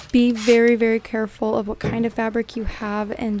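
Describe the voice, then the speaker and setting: Her unremarkable speaking voice sits at a fairly high pitch, and the woman keeps her intonation fairly even. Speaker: homemaker vlogger. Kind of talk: tutorial. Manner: casual, rambling with fillers.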